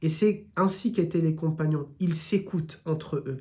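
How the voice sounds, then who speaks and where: A man with a slight southern French accent speaks at a moderate pace in a high pitch, with a dark, mellow tone and ordinary pitch variation. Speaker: Islamic religious teacher. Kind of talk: religious lecture, live stream. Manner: hesitant, many fillers.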